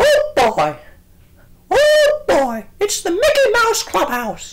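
A cartoonish character voice speaks very slowly at an extremely high pitch. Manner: upbeat, excited.

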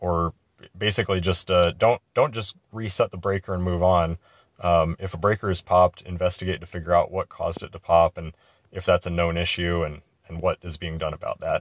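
In a very deep, low pitch, a man talks at a fairly quick pace with monotone, flat intonation, the sound dry with no echo. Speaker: pilot instructor. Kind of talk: tutorial. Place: plane. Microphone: phone near.

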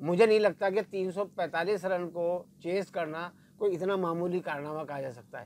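Dry and free of echo, the recording has a man speaking at a high pitch, with ordinary pitch variation and big swings in loudness. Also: fairly slow pace. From Pakistan. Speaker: veteran sports journalist. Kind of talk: casual cricket analysis. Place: studio. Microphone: lapel.

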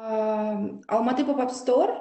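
At a fairly slow pace, a woman with a fairly high pitch and ordinary pitch variation speaks over a quiet background with audible room echo. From Almaty, Kazakhstan. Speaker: creative business founder. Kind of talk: panel discussion. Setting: video call. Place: home room. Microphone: video call.

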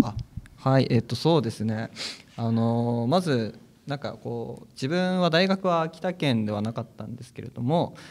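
Speaking at a fairly slow pace, a man with a plain, everyday voice uses lively intonation at medium pitch. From Akita, Honjo. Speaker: new newspaper employee. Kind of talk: interview.

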